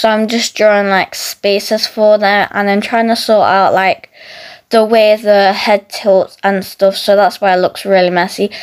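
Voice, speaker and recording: A woman speaks against a quiet background. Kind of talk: casual drawing tutorial chat. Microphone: phone near.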